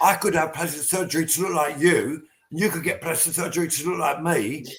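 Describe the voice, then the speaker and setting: A man's high-pitched voice in an English accent, fairly quick, with fairly even intonation. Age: 60s. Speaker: post-punk band frontman. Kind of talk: casual chat. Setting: video call.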